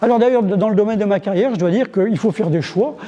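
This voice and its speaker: A man's high voice is heard against noticeable background noise. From French Flanders (Bailleul). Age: 70s. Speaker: historian and author. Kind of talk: interview. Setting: museum. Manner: halting, many fillers.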